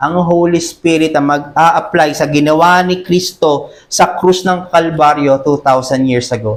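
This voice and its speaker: Speaking at a fairly slow pace with hardly any pauses, a man uses an ordinary speaking voice. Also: fairly high pitch for a man, ordinary pitch variation. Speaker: pastor. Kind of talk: sermon. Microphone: voice too quiet on mic.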